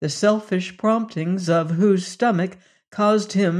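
A natural voice, reading aloud

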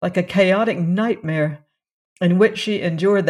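The text is read aloud in a natural voice, the pitch varying in an ordinary way. Behind it, things are quiet.

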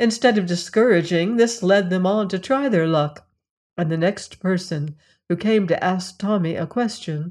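Reading aloud in a natural voice, the speaker has ordinary pitch variation over a quiet background.

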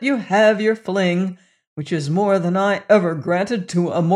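An unforced voice reads aloud. Nothing much stirs in the quiet background.

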